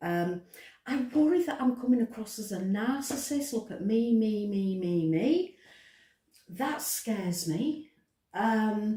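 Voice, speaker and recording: A woman with a British accent talks fairly slowly, leaving long, frequent pauses. Her tone is dark and mellow, with very wide pitch swings. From Britain. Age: 60s. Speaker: author. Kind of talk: casual vlog monologue. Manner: hesitant, frequent ums.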